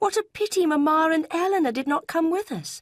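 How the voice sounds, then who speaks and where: Squeaky and delivered at a fairly quick pace, this is a put-on character voice. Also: female-sounding voice. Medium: read story. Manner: enthusiastic, emotional.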